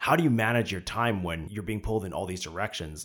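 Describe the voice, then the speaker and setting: Lively intonation runs through this man's fairly low-pitched, unremarkable speaking voice, heard in a very clean recording with a silent background. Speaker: podcast host. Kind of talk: casual interview chat.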